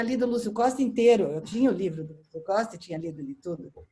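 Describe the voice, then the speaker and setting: Her voice sits fairly high for a woman, with a dark, mellow tone and very wide pitch swings. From São Paulo, Brazil. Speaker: architecture critic and editor. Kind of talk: casual chat. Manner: halting with repeated false starts.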